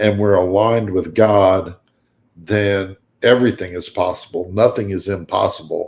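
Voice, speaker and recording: A fairly low-pitched male voice with monotone, flat intonation. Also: moderate pace, very clean recording, silent background. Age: 60s. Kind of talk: casual chat.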